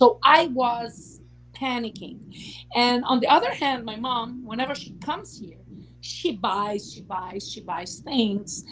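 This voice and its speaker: Speaking with a non-native accent, a woman talks at a fairly slow pace in a high voice with big swings in loudness. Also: ordinary pitch variation. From Lebanon. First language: Portuguese. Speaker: YouTube talk show host. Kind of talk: casual chat livestream. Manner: long-winded.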